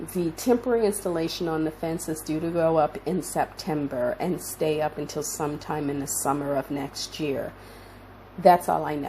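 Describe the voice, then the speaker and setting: Speaking at a moderate pace, a woman uses a very deep, low pitch and a dark, mellow tone with ordinary pitch variation. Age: 60s. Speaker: visual artist, channel owner. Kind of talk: casual vlog talk. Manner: casual with frequent hesitations.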